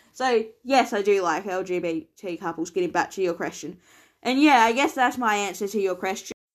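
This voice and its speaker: In an Australian accent, a woman speaks at a moderate pace with ordinary pitch variation. The recording is very clean, with a silent background. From Tasmania, Australia. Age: 20s. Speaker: podcast host. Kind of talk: solo podcast Q&A monologue.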